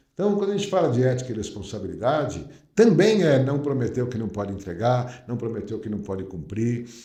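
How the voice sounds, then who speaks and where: A somewhat breathy voice with a dark, mellow tone moves at a fairly quick pace with hardly any pauses and very wide pitch swings, with audible room echo. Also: man, medium pitch for a man. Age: 60s. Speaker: company founder. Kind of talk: podcast interview. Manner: hesitant, many fillers.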